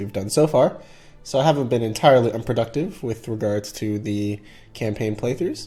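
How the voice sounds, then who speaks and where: Dark and mellow in tone and somewhat breathy, a man's voice sits at a medium pitch with ordinary pitch variation at a fairly quick pace. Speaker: gaming commentator. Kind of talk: game commentary.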